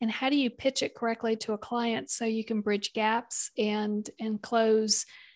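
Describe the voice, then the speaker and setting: With a Southern US accent, a woman speaks at a fairly slow pace in a fairly high, monotone, flat voice with hardly any pauses, the sound dry and close with no echo and the background quiet. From US South, South Carolina. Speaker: business consultant and podcaster. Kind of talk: interview.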